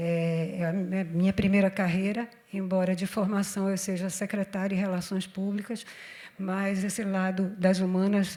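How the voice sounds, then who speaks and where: A woman's medium-pitched, monotone, flat delivery at a moderate pace. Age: 60s. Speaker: panel moderator. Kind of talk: panel discussion.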